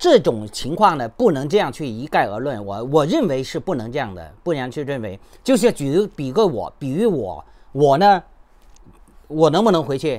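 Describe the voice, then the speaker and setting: At a moderate pace, a man speaks with a fairly high pitch that swings very widely. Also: big swings in loudness. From China, Henan. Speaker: YouTuber and human rights activist; YouTuber. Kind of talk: commentary monologue. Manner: halting, many fillers. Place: home room. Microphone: phone near.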